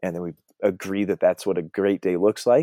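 On a very clean recording with a silent background, a man speaks in a dark, mellow tone with fairly even intonation. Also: dry, close sound with no echo. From Colorado. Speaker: high school teacher. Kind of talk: casual chat.

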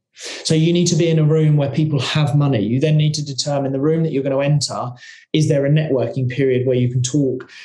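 Fairly high in pitch, a man talks at a very fast pace. His intonation stays fairly even, and room echo is audible. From England, working-class council estate. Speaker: investment company founder. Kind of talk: podcast interview.

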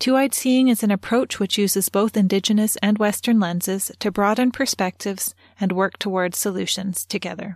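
A woman in an ordinary speaking voice at medium pitch, fairly quick with hardly any pauses, fairly even intonation and very even loudness, in a very clean recording with a silent background and a dry, close sound with no echo. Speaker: podcast host and interviewer. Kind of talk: scripted intro and interview.

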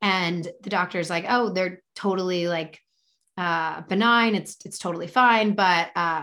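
A normal speaking voice from a woman, medium in pitch with fairly even intonation, on a very clean recording with a silent background. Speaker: author and podcaster. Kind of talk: casual interview.

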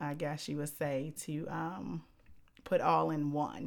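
The recording is very clean with a silent background, and the speech moves at a very slow pace with fairly even intonation. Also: woman. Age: 30s. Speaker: podcast guest co-host. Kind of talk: casual chat. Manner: outspoken.

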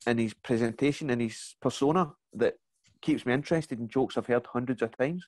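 With a Glaswegian accent, a man speaks at a fairly quick pace and medium pitch, using ordinary pitch variation in a dry, close sound with no echo. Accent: Glaswegian Scottish. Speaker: comedian. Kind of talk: casual chat. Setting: video call.

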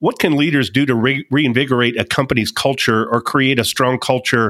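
A man with a plain, everyday voice talks at a moderate pace and medium pitch, with ordinary pitch variation. The sound is dry and close, with no echo. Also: very clean recording, silent background. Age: 50s. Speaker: podcast host and coach. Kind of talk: interview.

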